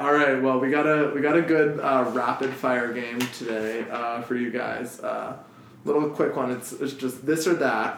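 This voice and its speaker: At a moderate pace, a man talks at a medium pitch with fairly even intonation, and noticeable background noise can be heard. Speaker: podcast host. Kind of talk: casual chat. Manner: casual, joking.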